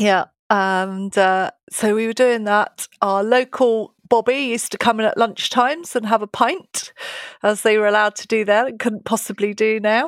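The voice carries a British accent and ordinary pitch variation at a moderate pace. The sound is dry and close, with no echo. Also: woman, fairly high pitch for a woman. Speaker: police detective. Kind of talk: interview.

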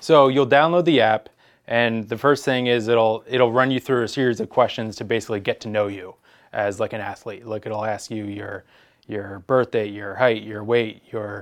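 Against a quiet background, a man with a plain, everyday voice talks at a moderate pace and medium pitch. His intonation is fairly even, but his loudness swings widely. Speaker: throws coach. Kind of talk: casual podcast chat.

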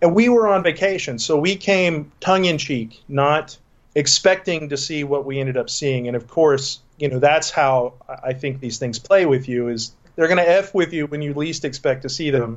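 A man with an American accent and a plain, everyday voice talks at a moderate pace, his pitch fairly high with ordinary variation. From Texas. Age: 40s. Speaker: paranormal investigator. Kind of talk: interview.

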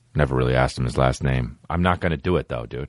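Very fast and animated, a man talks with vocal fry. His pitch varies in an ordinary way. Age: 30s. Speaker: comedian podcast host. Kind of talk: casual chat.

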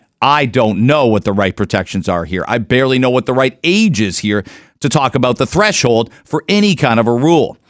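A man talks at a fairly quick pace in a medium pitch, with very wide pitch swings, an animated tone and very even loudness. The recording is very clean, with a silent background. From Canada. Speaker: radio host. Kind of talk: radio talk show. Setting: studio.

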